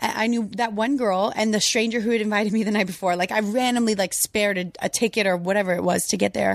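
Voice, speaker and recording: Speaking very fast, a woman barely pauses, her pitch medium and her intonation fairly even. Her loudness stays very even throughout. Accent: American. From Louisiana, US. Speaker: Instagram model. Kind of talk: casual chat. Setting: home studio.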